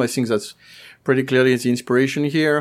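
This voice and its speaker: Here a man has a plain, everyday voice at medium pitch with fairly even intonation, recorded very cleanly against a silent background. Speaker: podcast panelist. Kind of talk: casual chat.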